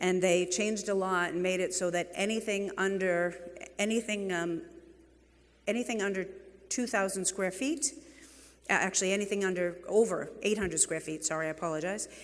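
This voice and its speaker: A woman with a New England accent talks at a fairly quick pace and a medium pitch, leaving long, frequent pauses. Audible room echo surrounds her voice. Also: ordinary pitch variation. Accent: New England (Boston-like) accent, noticeable. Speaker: real estate executive, keynote speaker. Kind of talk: conference keynote talk. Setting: stage with audience. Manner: animated.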